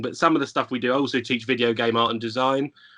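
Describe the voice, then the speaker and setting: A man in a London accent at a very fast pace, medium pitch, bright, sharp tone and fairly even intonation. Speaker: lecturer. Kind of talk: podcast interview.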